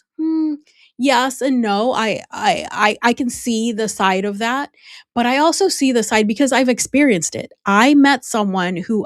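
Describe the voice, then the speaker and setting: In a Spanish accent, a woman talks at a fairly slow pace with a fairly high pitch and ordinary pitch variation, the sound dry and close with no echo on a very clean recording with a silent background. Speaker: personal branding consultant. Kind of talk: podcast interview. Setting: podcast.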